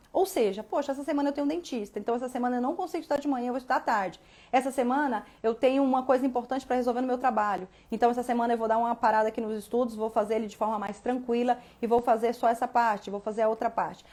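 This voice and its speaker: A woman speaks very fast at a high pitch. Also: ordinary pitch variation, very clean recording, silent background. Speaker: law exam prep teacher. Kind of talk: live stream talk. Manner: animated.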